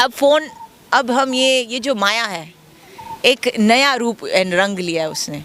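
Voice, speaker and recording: Noticeable background noise sits behind a woman's voice. She speaks at a fairly high pitch with lively intonation. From Kenya. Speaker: Krishna devotee. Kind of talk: interview answer.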